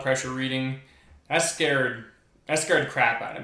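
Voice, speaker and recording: A man with a medium pitch speaks at a fairly quick pace. Audible room echo and noticeable background noise surround him. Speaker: video creator. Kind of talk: personal vlog monologue. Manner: fast; excitable.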